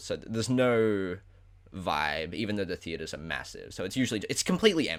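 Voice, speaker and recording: In an Australian accent, a man with a fairly low pitch talks at a very fast pace on a very clean recording with a silent background. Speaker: podcast host. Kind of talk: casual chat.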